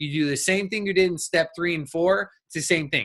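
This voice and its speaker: Very fast in pace, a man speaks with a bright, sharp tone at a high pitch. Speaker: business coach. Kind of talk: recorded workshop talk. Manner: animated.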